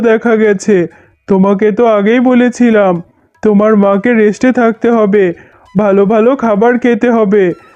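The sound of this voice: This cartoonish character voice sits at a fairly high pitch and moves at a fairly slow pace.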